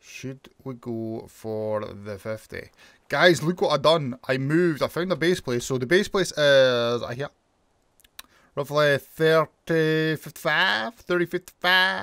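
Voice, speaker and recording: Recorded very cleanly against a silent background with a dry, close sound and no echo, a man speaks at a very slow pace in a Scottish accent, with lively intonation and a fairly high pitch. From Scotland. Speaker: gaming YouTuber. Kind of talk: gameplay commentary. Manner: animated.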